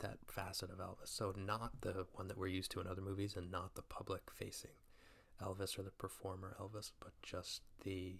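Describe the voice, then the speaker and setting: A soft-spoken man with a very deep, low voice talks at a moderate pace in a relaxed tone, his intonation monotone and flat. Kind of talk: movie review, casual talk to camera. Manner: soft-spoken, relaxed.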